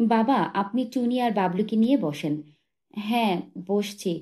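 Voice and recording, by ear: Someone reads aloud in a natural voice. The pitch varies in an ordinary way against a quiet background.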